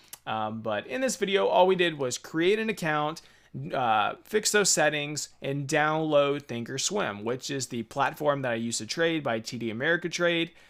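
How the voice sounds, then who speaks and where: The man's fairly high pitch and lively intonation come through in a very clean recording against a silent background. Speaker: trading tutorial youtuber. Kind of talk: tutorial. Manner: fast; casual, filler-heavy.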